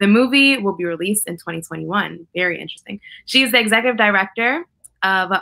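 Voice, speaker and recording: With a New York accent, a woman speaks at a medium pitch in a bright, sharp tone. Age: 20s. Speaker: activist and public speaker. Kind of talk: casual conversation. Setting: video call. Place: home room. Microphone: webcam.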